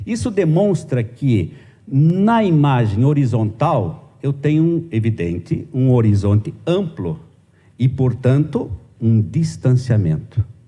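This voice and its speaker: A man's very slow, somewhat breathy delivery in a dark, mellow tone, medium in pitch with very wide pitch swings and very even loudness. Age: 50s. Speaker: journalism professor. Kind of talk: conference lecture. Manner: hesitant, many fillers.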